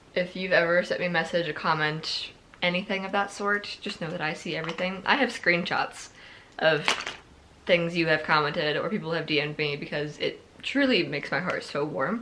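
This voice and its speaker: Over noticeable background noise, a woman with a fairly low pitch talks at a fairly quick pace. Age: 20s. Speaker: book vlogger. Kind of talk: casual talk to camera.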